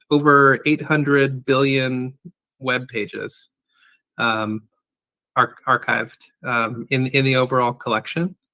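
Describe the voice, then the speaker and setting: Speaking very slowly in a Californian accent, a man keeps a medium pitch and fairly even intonation. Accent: General American (Californian). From US West Coast, San Francisco Bay Area. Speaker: archive and data services director. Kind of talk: interview. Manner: deliberately slow; hesitant, many fillers.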